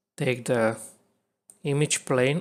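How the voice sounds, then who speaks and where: A man talks at a medium pitch, his pitch variation ordinary. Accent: non-native. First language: not English. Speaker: video editing tutorial creator. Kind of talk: tutorial. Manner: halting.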